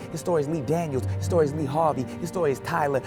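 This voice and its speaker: A man with an American accent, very fast pace and lively intonation, music playing in the background. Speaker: spoken word poet. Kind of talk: spoken word poetry performance. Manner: rhythmic, emphatic.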